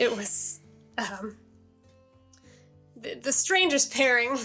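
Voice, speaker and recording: Using a put-on character voice, a man speaks in a raspy, extremely high pitch at a very slow pace, his intonation lively, with faint music in the background. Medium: actual play. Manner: folksy, easygoing.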